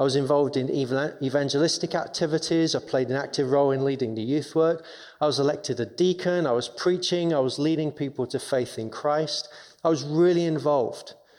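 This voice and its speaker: With an English accent, the speaker moves at a fairly quick pace with fairly even intonation. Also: man, fairly high pitch for a man. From England, London. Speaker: chaplain. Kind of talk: testimony.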